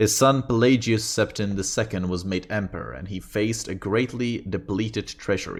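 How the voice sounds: The clip carries a natural reading voice with ordinary pitch variation.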